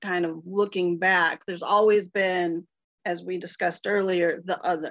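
A woman with an American accent and an unremarkable speaking voice, medium pitch, at a fairly slow pace. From Ohio, US Midwest. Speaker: political consultant. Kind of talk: panel discussion.

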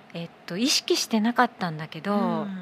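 With noticeable background noise behind her, a woman speaks at medium pitch with lively intonation. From Abu Dhabi. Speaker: company founder. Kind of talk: casual chat. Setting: bar-themed studio set.

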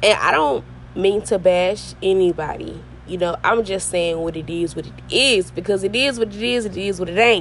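A woman with ordinary pitch variation is heard through noticeable background noise. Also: medium pitch for a woman, moderate pace, big swings in loudness. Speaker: podcast host. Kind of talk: casual monologue.

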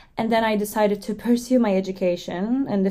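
Her tone is dark and mellow, and this woman talks at a medium pitch. She speaks very fast with fairly even intonation. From Turkey. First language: Turkish. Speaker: podcast co-host, graduate student. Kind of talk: casual chat.

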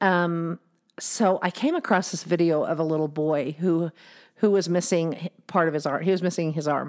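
Fairly even intonation and a moderate pace in a woman's fairly low-pitched voice, a plain, everyday voice. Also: very clean recording, silent background. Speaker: podcast host. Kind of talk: casual chat. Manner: laughs often.

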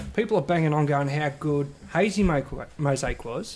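This man talks with an Australian accent at a fairly slow pace. His pitch sits fairly high. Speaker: beer sales rep. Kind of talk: casual chat.

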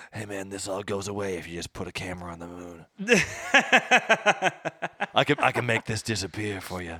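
Putting on a character voice, a man speaks very deep and low with a raspy edge at a moderate pace, breaking often with long pauses. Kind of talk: tough-guy street talk. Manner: threatening, offering to make problems vanish.

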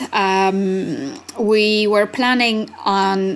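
A woman is heard over noticeable background noise. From Italy. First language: Italian. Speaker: language researcher and arts festival director. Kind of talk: interview. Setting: remote recording.

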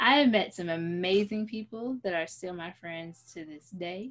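A woman speaks with an American accent at a moderate pace. Her pitch variation is ordinary. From New York City, the Bronx. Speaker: podcast co-host, actress. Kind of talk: casual chat.

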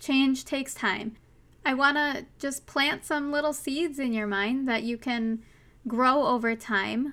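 A woman with a Minnesotan accent speaks at a fairly slow pace in a high, bright, sharp tone with fairly even intonation, on a very clean recording with a silent background. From US Minnesota. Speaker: podcast host. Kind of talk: solo podcast monologue, casual and personal. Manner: casual, chatty, earnest; laughs often, self-deprecating.

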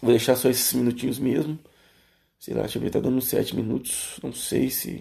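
Vocal fry runs through this man's dark, mellow, medium-pitched voice as he speaks at a moderate pace with fairly even intonation. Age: 20s. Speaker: podcaster. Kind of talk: solo monologue. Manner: hesitant, many fillers.

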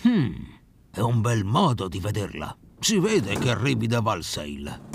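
In a put-on character voice with vocal fry, the speaker moves at a fairly slow pace through very wide pitch swings. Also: man, fairly low pitch for a man.

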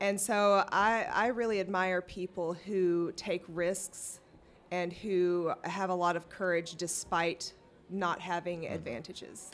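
Here a woman speaks with a Southern US accent. Her intonation stays fairly even. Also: medium pitch for a woman, fairly slow pace. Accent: southern drawl. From US South, rural Arkansas. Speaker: city council candidate. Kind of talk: interview.

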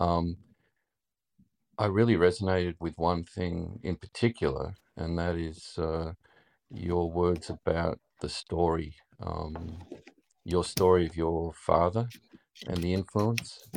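Very slow and broken by long, frequent pauses, a man speaks with an Australian accent in a very deep, low pitch. His intonation is fairly even, and the background is quiet. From Melbourne, Australia. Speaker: listener joining a live podcast stage. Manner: slow, deliberate speaker.

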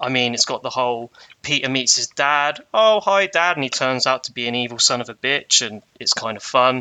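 Here is a man with a plain, everyday voice at medium pitch. His intonation is lively and his pace is moderate. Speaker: guest.

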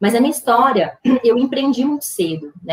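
Speaking at a moderate pace with a Brazilian accent, a woman uses ordinary pitch variation. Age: 40s. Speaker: business founder and CEO. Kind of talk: interview conversation.

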